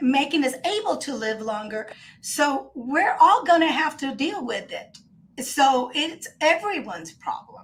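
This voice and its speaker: Her pitch high and swinging very widely, a woman talks at a fairly slow pace with hardly any pauses. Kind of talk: podcast discussion.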